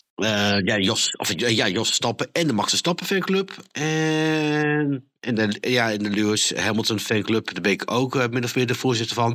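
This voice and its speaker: A man talks at a fairly slow pace with hardly any pauses. His tone is bright and sharp, and his intonation lively. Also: medium pitch for a man. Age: 30s. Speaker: motorsport podcaster. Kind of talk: casual chat.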